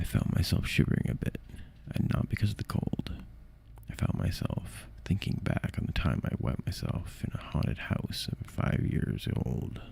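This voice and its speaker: Through noticeable background noise, a man with a very deep, low pitch speaks at a moderate pace, his pitch swinging very widely. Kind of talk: ASMR horror story reading.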